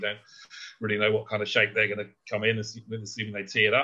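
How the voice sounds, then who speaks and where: Male voice, fairly low in pitch, bright and sharp in tone. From Britain. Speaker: golf betting analyst. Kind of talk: casual chat.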